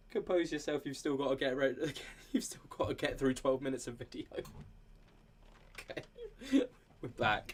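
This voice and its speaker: The speaker has a British accent and a moderate pace. Long pauses come often. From United Kingdom. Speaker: paranormal commentary YouTuber. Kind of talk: casual commentary chat. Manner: animated.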